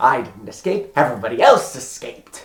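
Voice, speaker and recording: A put-on character voice rattles along at a fairly quick pace. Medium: solo performance. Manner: gleeful, quirky.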